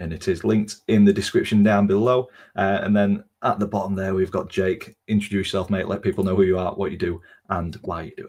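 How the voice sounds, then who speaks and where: A man with a Yorkshire accent, fairly low in pitch, at a fairly quick pace, with monotone, flat intonation and big swings in loudness. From Doncaster, South Yorkshire. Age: 20s. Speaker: football podcast host. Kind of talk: casual chat.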